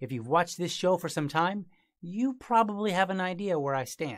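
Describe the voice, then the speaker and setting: Lively intonation marks this man's speech. The background is quiet. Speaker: podcast host. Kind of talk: podcast monologue.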